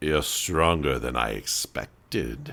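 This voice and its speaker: The speaker is a man using a put-on character voice. His pitch is very deep and low, and his pace fairly slow. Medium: actual play. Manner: smooth, menacing courtesy.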